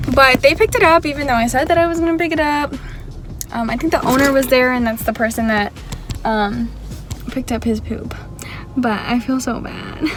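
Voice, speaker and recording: A woman's high-pitched voice at a fairly quick pace, with ordinary pitch variation, long, frequent pauses, and music in the background. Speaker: lifestyle vlogger. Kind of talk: casual vlog. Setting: office at work. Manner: quiet, low volume.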